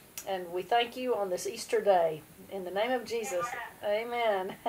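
Speaking at a fairly slow pace, a woman has an unremarkable speaking voice, medium pitch and fairly even intonation. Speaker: leader of a family prayer service. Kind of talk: informal religious service. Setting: video call.

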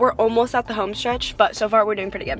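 The woman's voice sounds dry with no echo, with light noise behind it. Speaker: vlogger. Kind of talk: casual vlog chat. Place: car. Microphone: phone near.

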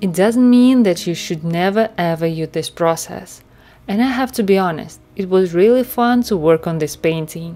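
The speaker has a dark, mellow tone and a non-native accent. Delivery is at a moderate pace with lively intonation. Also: woman, medium pitch for a woman. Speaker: self-taught oil painter. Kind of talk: art tutorial narration.

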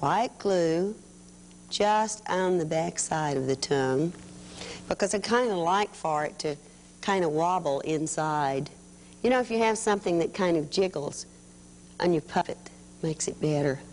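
A woman with a fairly low pitch speaks at a moderate pace with ordinary pitch variation and long, frequent pauses over light background noise. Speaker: children's TV craft host. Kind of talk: tutorial. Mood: warm, patient. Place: studio.

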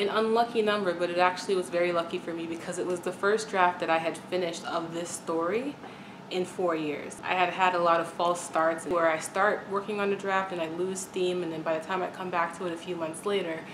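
A woman's fairly low voice with fairly even intonation, amid noticeable background noise. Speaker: writer vlogger. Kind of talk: casual vlog chat. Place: home room. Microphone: camera far.

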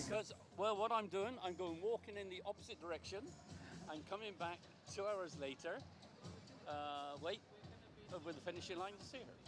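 Clear music plays behind a man with a high pitch and ordinary pitch variation, the sound dry with no echo. He talks at a moderate pace with long, frequent pauses. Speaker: runner's husband. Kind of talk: interview answer. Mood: cheerful, relaxed. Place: street. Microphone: handheld.

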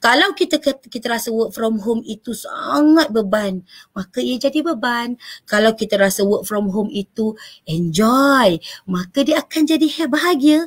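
A woman's fairly high-pitched voice, fairly slow, with lively intonation and a quiet background. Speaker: panel speaker on work-life balance; speaker. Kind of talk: talk show presentation. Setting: online live stream. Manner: loud. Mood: warm, encouraging. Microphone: webcam.

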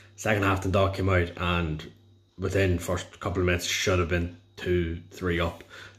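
A man with an Irish accent, very deep and low in pitch, somewhat breathy, monotone and flat, with very even loudness at a moderate pace. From Ireland, County Louth. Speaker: football fan. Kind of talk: match review. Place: home room. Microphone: phone near.

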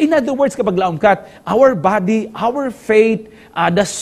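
In a Western Visayan accent, a man talks with very wide pitch swings. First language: Hiligaynon (speaking Tagalog). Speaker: pastor and communication director; pastor. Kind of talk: Bible study lesson. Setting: studio. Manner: halting, many filler sounds. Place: studio. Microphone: lapel.

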